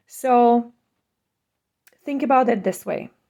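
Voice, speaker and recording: A woman with a Czech accent speaks at a fairly slow pace in a dark, mellow tone. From Czech Republic. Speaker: school board candidate. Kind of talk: campaign statement.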